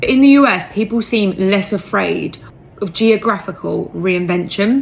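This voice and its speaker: In a British accent, a woman speaks at medium pitch and a moderate pace with ordinary pitch variation. Noticeable background noise runs underneath. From UK. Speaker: British expat in the US. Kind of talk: casual chat.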